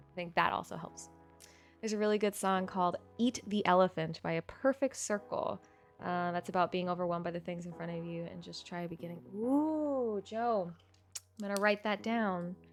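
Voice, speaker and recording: A woman's animated voice at a medium pitch and moderate pace, with ordinary pitch variation and music in the background. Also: big swings in loudness. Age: 30s. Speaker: streamer. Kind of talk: casual chat.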